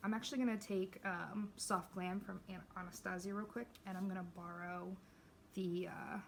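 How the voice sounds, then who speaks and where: Her voice somewhat breathy and medium in pitch, a woman speaks at a moderate pace with monotone, flat intonation. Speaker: beauty vlogger. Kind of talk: casual get-ready-with-me chat. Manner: casual, filler-heavy; quiet.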